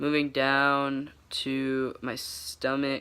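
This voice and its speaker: The man's voice sits at a medium pitch, with a bright, sharp tone. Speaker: vlogger. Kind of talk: casual vlog update. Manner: halting, many fillers.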